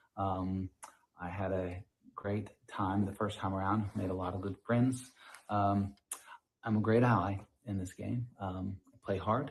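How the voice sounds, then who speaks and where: A man with an American accent, fairly low-pitched and somewhat breathy, at a fairly slow pace with fairly even intonation and long, frequent pauses. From Atlanta, Georgia, US South. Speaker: game contestant. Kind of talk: self-introduction video. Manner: halting, repetitive.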